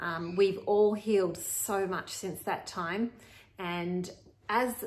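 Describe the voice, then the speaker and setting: Her intonation monotone and flat, a woman talks at a fairly slow pace. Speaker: podcast host. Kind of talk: casual podcast intro to camera. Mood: warm and friendly. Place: kitchen. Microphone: phone near.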